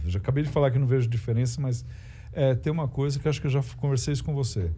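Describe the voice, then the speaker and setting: The man's voice is somewhat breathy, with a dark, mellow tone. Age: 60s. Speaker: stand-up comedian. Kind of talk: casual chat. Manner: halting.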